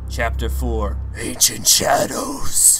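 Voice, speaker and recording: A raspy, put-on character voice from a man comes through clear background noise. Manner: dramatic, put-on announcer delivery.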